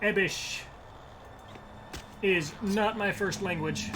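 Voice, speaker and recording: A man talks while audible room echo and noticeable background noise fill the recording. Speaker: gaming streamer. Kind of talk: casual gameplay commentary. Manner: soft-spoken.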